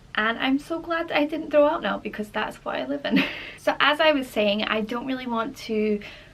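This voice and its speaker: Speaking at a moderate pace with a Scottish accent, a woman uses a high pitch with ordinary pitch variation. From Scotland. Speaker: travel and life vlogger. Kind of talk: casual talk to camera.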